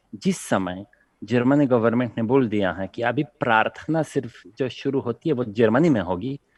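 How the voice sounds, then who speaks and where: A man speaks at a medium pitch with lively intonation, recorded dry and close with no echo over a quiet background. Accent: Polish. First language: Polish (speaking Hindi). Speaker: panelist, Hindi and Sanskrit speaker. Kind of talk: TV panel discussion.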